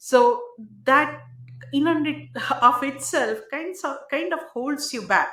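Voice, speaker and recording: Heard with audible room echo, a woman with an Indian accent talks at a fairly slow pace with ordinary pitch variation. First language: not English, Indian language. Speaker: tech entrepreneur. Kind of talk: interview.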